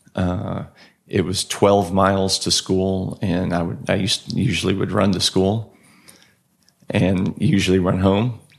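Delivered at a fairly slow pace in a Texan accent, the voice stays monotone and flat. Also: man, very deep, low pitch for a man. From Texas, Austin. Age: 40s. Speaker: health coach and endurance athlete. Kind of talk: casual interview chat.

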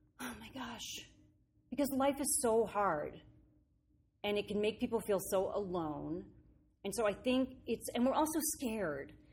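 A woman with a fairly high pitch speaks at a fairly slow pace, leaving long, frequent pauses, her voice showing vocal fry. Her pitch swings very widely and her loudness shifts a lot, on a very clean recording with a silent background. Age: 50s. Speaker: actress and comedian. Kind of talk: casual interview. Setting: rehearsal studio.

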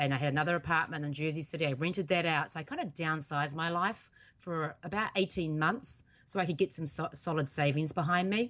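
Against a quiet background, a woman with a New Zealand accent speaks at a fairly quick pace and a fairly low pitch. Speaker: accountability coach and podcaster. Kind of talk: interview.

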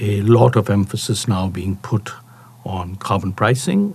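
Talking at a moderate pace, a man uses an unremarkable speaking voice. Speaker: policy researcher. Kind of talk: interview clip.

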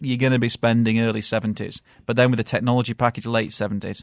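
With a British accent, a man talks at a very fast pace and a medium pitch. The sound is dry and close with no echo, over a quiet background. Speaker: car journalist. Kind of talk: casual chat. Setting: studio.

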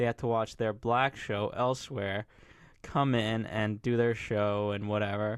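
The recording is very clean, with a silent background. A man speaks in a monotone, flat intonation at very even loudness. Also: medium pitch for a man, fairly slow pace. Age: 20s. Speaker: TV recap podcast co-host. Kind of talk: casual chat. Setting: studio.

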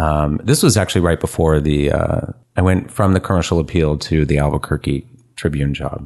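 A man with a West Coast accent and a very deep, low pitch. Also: ordinary pitch variation, fairly quick pace. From San Francisco Bay Area. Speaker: photographer. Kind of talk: casual chat.

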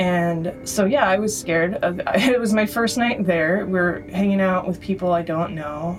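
Over noticeable background noise, a woman with an American accent speaks at a fairly slow pace with ordinary pitch variation. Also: medium pitch for a woman, hardly any pauses. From US West Coast (San Francisco Bay Area). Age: 30s. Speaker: writer and musician, former traveler. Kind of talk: interview storytelling.

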